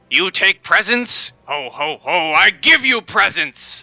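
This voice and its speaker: A man uses a put-on character voice, pitched high. He talks at a fairly slow pace. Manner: angry.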